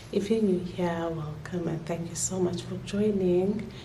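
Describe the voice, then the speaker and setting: A woman whispers in a room with audible echo and noticeable background noise. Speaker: vlogger. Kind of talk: casual vlog talk. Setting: at home. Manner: whispering.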